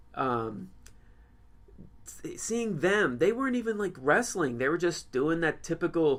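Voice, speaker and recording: Mumbling male speech at a moderate pace with lively intonation, on a very clean recording with a silent background. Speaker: wrestling podcast co-host. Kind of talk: casual chat.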